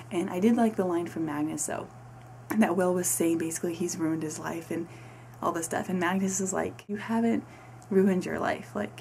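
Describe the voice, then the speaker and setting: Amid noticeable background noise, a woman with fairly low pitch speaks at a fairly quick pace with lively intonation. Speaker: book reviewer. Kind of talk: casual book review.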